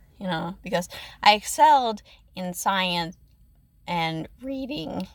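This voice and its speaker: A woman with a medium pitch speaks shakily at a very slow pace, her intonation lively. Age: 20s. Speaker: ASMR content creator. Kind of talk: personal storytelling. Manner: shaky; hesitant, many fillers.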